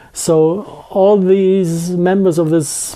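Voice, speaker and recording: A man talks with a strong German accent. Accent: thick German. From Germany. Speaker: scientist giving lecture/interview. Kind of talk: interview. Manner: halting, with false starts.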